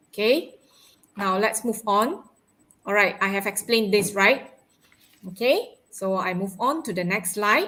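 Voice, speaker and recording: A woman's bright, sharp voice at medium pitch with ordinary pitch variation, fairly slow, broken by long, frequent pauses. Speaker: English teacher. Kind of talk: online live lesson. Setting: live stream. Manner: animated.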